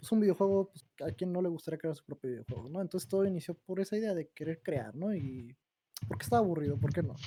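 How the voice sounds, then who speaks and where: Speaking at a very fast pace, a man with a fairly high pitch shows lively intonation. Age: 20s. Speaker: game developer. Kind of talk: casual chat.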